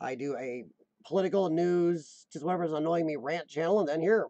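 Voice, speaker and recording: A dark, mellow tone at a fairly quick pace with ordinary pitch variation, in a dry, close sound with no echo. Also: man. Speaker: vlogger with cystic fibrosis. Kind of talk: casual vlog monologue. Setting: live stream. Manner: limited control of voice tone.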